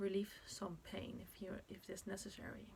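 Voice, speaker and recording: A woman speaks with a Dutch accent. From Netherlands. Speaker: birth preparation teacher. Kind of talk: tutorial. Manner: halting.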